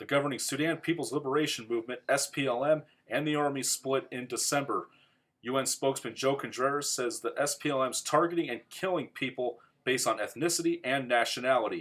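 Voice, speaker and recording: On a very clean recording with a silent background, a man speaks in a plain, everyday voice, fairly high in pitch, with fairly even intonation at a fairly quick pace. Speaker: college student. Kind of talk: TV news report read.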